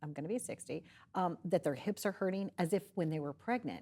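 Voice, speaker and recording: Talking at a very fast pace, the speaker comes through a very clean recording with a silent background. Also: woman. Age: 60s. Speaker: talk show host. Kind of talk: interview. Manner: casual.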